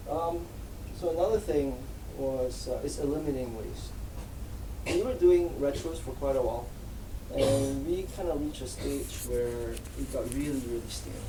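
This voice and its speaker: Soft-spoken, the speaker goes at a moderate pace with long, frequent pauses amid noticeable background noise. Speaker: agile team lead. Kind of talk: conference talk.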